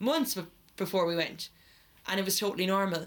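At a very fast pace, a woman speaks with an Irish accent. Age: 20s. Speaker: podcast co-host. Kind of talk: casual chat. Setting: garden shed makeshift studio.

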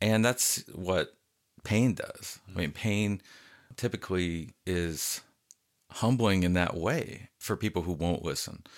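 The speech moves at a very slow pace with long, frequent pauses. The recording is very clean, with a silent background. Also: man. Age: 40s. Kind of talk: casual theological discussion.

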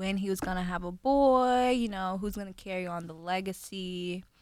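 On a very clean recording with a silent background, a woman with a plain, everyday voice speaks at a moderate pace with ordinary pitch variation. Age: 20s. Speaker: sports podcast co-host. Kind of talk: casual chat.

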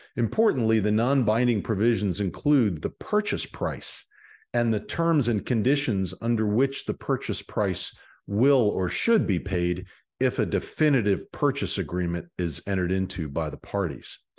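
Over a quiet background, a man with a plain, everyday voice talks at a fairly low pitch with lively intonation. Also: moderate pace. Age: 60s. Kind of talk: interview, then lecture-style explanation.

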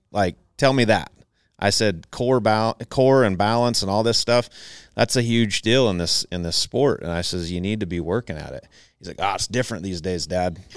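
A male speaker with an American accent, fairly low-pitched, moderately paced, ordinary pitch variation, an unremarkable speaking voice, very clean recording with a silent background. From Southern Idaho. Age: 40s. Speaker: ranch business owner, former rodeo rider. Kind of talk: casual interview chat. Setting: event venue.

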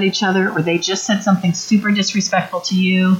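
A woman speaks at a fairly quick pace in a somewhat breathy voice. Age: 50s. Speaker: parenting workshop speaker. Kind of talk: workshop talk.

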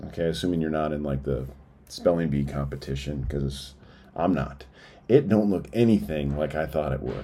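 A man with a very deep, low pitch and a dark, mellow tone uses vocal fry, talking at a moderate pace with ordinary pitch variation and audible room echo. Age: 40s. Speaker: business owner and writer in recovery. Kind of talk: reading aloud a personal essay.

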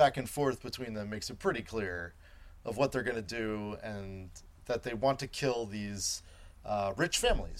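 A passage is read aloud in a natural voice. The pitch varies an ordinary amount.

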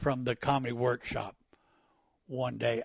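A man with an American accent speaks at a moderate pace in a medium pitch, somewhat breathy. The sound is dry and close with no echo, and the background is quiet. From Virginia, US. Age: 70s. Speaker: stand-up comedian. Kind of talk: interview conversation.

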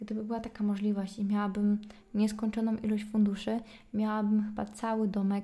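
The voice is somewhat breathy, with a dark, mellow tone. Its recording is very clean, and the background is silent. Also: woman. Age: 20s. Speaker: podcaster. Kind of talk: solo casual monologue. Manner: chatty.

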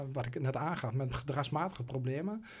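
A man's fairly high, somewhat breathy voice at a moderate pace, with lively intonation. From Twente, eastern Netherlands. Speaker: goalkeeping coach. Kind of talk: interview conversation. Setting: studio. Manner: halting, many fillers.

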